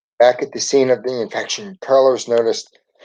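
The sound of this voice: An unforced reading voice carries the passage.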